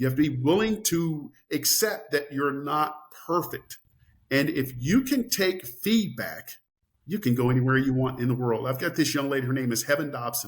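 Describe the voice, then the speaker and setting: Fairly high for a man, his somewhat breathy voice moves at a moderate pace with lively intonation. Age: 60s. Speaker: farm owner and author. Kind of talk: interview. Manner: animated.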